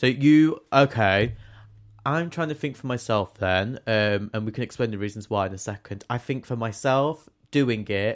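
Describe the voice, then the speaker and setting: A man with an English accent, ordinary pitch variation, and a very clean recording over a silent background. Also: medium pitch for a man. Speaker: theatre student and podcast co-host. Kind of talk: casual chat. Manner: fast talker; stumbles over words.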